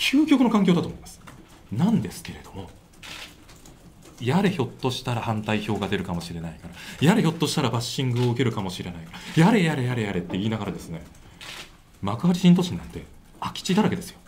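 Speaking very fast, a man lets his pitch swing very widely. There is light background noise. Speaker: election candidate. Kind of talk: press conference answer. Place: meeting room. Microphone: handheld.

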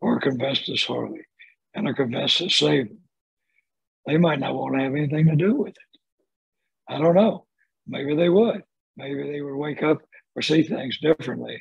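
A man with a Southern US accent, fairly high in pitch with ordinary pitch variation, at a moderate pace with long, frequent pauses and big swings in loudness, dry with no echo over a quiet background. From Birmingham, Alabama. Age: 70s. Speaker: retired lawyer and mystic. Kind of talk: podcast conversation. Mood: calm, reflective. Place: home room. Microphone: video call.

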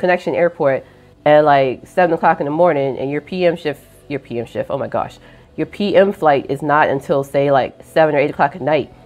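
Faint music plays behind a woman speaking at a moderate pace with ordinary pitch variation. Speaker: airline worker vlogger. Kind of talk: casual vlog chat. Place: home room. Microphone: lapel.

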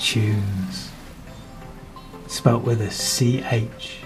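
A man talks with fairly even intonation. Behind him, music is playing. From Manchester. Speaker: performance poet. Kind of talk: performance poetry reading.

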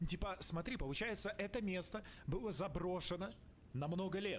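Here a man talks with a high pitch. His pace is fairly quick. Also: ordinary pitch variation.

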